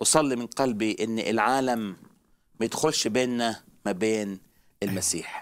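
This man talks at a moderate pace in a medium pitch, with ordinary pitch variation and a quiet background. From Egypt. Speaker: traveling evangelist preacher; guest teacher on religious show. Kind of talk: religious talk show discussion. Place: studio. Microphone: headset.

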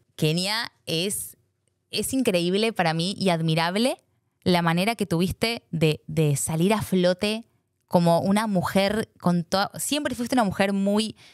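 A woman with a Rioplatense accent at a fairly slow pace against a quiet background. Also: dry sound with no echo. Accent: Argentine Rioplatense Spanish. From Argentina. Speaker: podcast host. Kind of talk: casual interview chat. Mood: warm, smiling. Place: studio. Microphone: studio mic.

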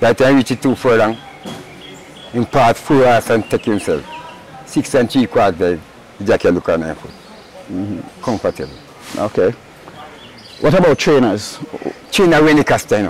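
A man speaks at a moderate pace, his pitch swinging very widely, with long, frequent pauses. The sound is dry with no echo, over light background noise. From Jamaica. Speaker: racehorse groom. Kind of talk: interview. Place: farm machine. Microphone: lapel.

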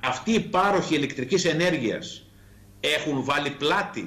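The man talks, his pitch varying in an ordinary way. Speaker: politician, remote guest. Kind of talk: interview answer. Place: home room.

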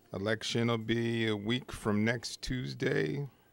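A man speaks at a very slow pace in a fairly low voice. His pitch varies in an ordinary way, and the sound is dry with no echo. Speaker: call-in show host. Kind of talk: talk show monologue. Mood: calm, slightly weary. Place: studio. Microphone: studio mic.

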